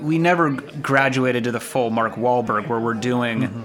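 Over noticeable background noise, a man with a medium pitch speaks fairly slowly in an animated tone, with ordinary pitch variation. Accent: General American. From Los Angeles. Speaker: podcast co-host. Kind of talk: casual comedic banter. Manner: jokey, animated.

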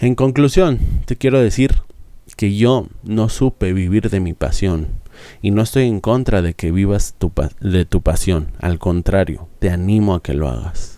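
A man speaks at a fairly slow pace with a fairly low pitch and a dark, mellow tone. His intonation is lively, and the recording is very clean with a silent background. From Mexico. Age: 30s. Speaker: business podcaster, entrepreneur. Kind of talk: monologue podcast. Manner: hesitant fillers and repetitions.

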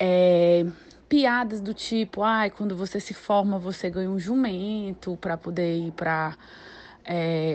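Her medium-pitched voice keeps a fairly even intonation. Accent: Cearense. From Ceará, Brazil. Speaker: doctor. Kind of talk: testimony. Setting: recorded voice message.

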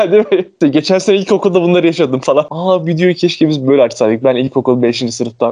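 A man's fairly high voice at a very fast pace, hardly any pauses, very even loudness and lively intonation. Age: 20s. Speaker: podcast co-host. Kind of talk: casual chat.

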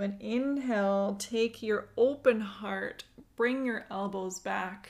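With fairly even intonation, a woman speaks at a fairly high pitch in an unremarkable speaking voice. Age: 30s. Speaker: podcast host and yoga teacher. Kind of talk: guided breathwork and seated yoga movement instruction. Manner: slow, calm, soothing pacing with cues timed to breaths.

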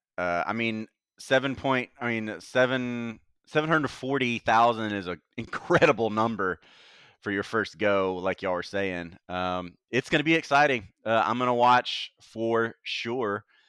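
Dry and close with no echo, a man with an American accent speaks in a bright, sharp tone. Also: medium pitch for a man, ordinary pitch variation, fairly slow pace, very clean recording, silent background. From US Gulf Coast. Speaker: wrestling podcast moderator. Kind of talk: casual chat. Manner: animated.

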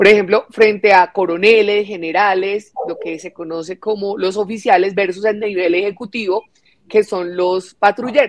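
A woman speaks in an ordinary speaking voice at a moderate pace, with medium pitch and fairly even intonation. Her loudness swings widely. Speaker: congresswoman. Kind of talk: parliamentary speech.

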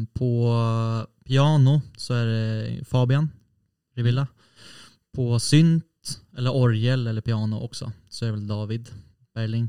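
Speaking at a very slow pace, a man with a dark, mellow tone keeps his intonation fairly even. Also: medium pitch for a man. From Sweden, Norrtälje. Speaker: guitarist. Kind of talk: casual chat.

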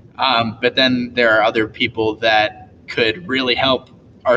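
A man with an American accent at a moderate pace. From US Midwest (Indiana). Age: 20s. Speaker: videographer and video editor. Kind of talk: casual interview.

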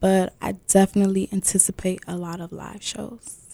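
Speaking with an American accent, a woman keeps a fairly slow pace and a monotone, flat intonation. Her tone is dark and mellow, and the sound is dry and close with no echo. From US Mid-Atlantic, Prince George's County, Maryland. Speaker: singer. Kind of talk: interview.

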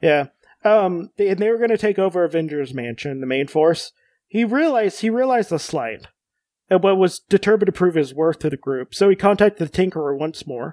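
A high-pitched man's voice, fairly quick and lively in intonation, in a very clean recording with a silent background. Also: dry, close sound with no echo. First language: Spanish. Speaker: podcast host. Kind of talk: casual chat.

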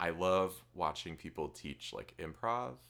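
A man talks with vocal fry. His tone is bright and sharp. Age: 20s. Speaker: podcast host and arts teacher. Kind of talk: casual chat. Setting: studio, filmed in person. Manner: fast.

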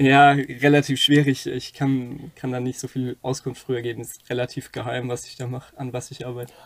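A man speaks at medium pitch in a monotone, flat intonation, with hardly any pauses and big swings in loudness. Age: 20s. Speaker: podcast co-host, aerospace engineering student. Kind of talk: casual chat.

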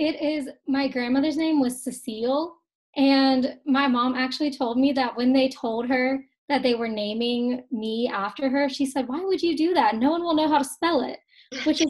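A woman speaks in a high pitch with ordinary pitch variation. She has a slight Southern US accent. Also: moderate pace, quiet background. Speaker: blogger and college student. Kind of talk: podcast interview.

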